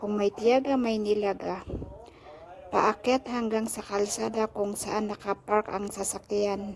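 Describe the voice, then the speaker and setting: At a fairly slow pace, a woman speaks with monotone, flat intonation at a medium pitch over noticeable background noise. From Philippines, Benguet highlands. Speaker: vlogger. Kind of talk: vlog narration. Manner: polite, uses po.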